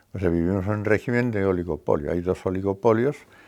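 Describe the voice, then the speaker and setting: A very deep, low-pitched man's voice, dark and mellow in tone, with fairly even intonation on a very clean recording with a silent background. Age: 80s+. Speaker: editor and translator. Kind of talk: interview. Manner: hesitant with fillers.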